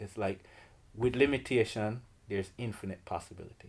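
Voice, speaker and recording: A man with a Jamaican accent, a relaxed tone and ordinary pitch variation. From Jamaica, Kingston. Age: 40s. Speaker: artist and art teacher. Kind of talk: interview. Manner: relaxed, many fillers.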